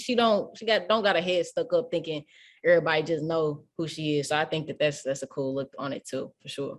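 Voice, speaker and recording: A woman with a strong St. Louis accent talks at a very fast pace with ordinary pitch variation against a quiet background. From St. Louis, Missouri. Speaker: radio host. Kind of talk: casual interview. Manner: animated.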